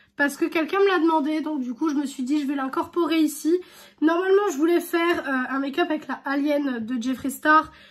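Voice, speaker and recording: The woman talks at a middling speed. Pitch shifts in a typical way. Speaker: beauty vlogger. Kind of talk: makeup tutorial. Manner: casual, filler-heavy.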